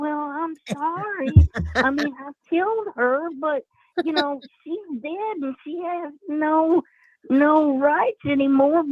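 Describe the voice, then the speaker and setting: The speaker uses a put-on character voice with a high pitch. The delivery comes at a fairly slow pace. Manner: put-on imitating voice.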